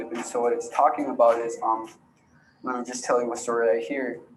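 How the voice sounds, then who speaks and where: Over noticeable background noise and audible room echo, a man speaks at a medium pitch. His pace is fairly quick and his intonation fairly even. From Alaska, Yupik community. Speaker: youth storyteller and rapper. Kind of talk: presentation of own film.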